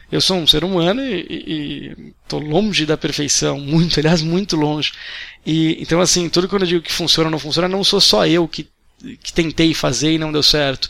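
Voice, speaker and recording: This man has a fairly high pitch and a bright, sharp tone. His pace is moderate. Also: ordinary pitch variation. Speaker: day trader. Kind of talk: interview. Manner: halting.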